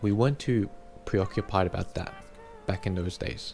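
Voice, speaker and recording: With music playing behind him, a man talks at a moderate pace in an Australian accent, his pitch fairly low. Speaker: YouTuber. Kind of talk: personal vlog monologue.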